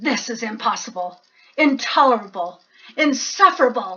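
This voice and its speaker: A woman shouts at a moderate pace in a high-pitched, put-on character voice. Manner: indignant, shouting.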